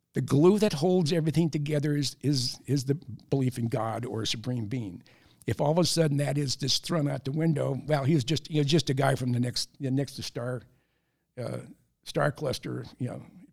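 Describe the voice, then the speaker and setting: A somewhat breathy man with an American accent, fairly high in pitch, at a moderate pace. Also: ordinary pitch variation. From San Francisco Bay Area, US. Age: 70s. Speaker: retired Air Force sergeant and aviation author. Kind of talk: casual interview.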